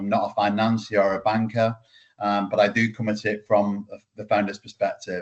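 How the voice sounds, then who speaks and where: The speaker is a man with a fairly low pitch. He talks at a moderate pace in a monotone, flat intonation. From UK. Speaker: startup founder. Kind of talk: webinar presentation.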